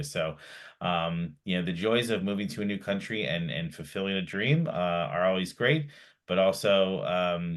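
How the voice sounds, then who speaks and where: Speaking at a moderate pace, a man with an American accent has a very deep, low pitch. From United States. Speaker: webinar host. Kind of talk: webinar introduction. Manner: halting, many fillers.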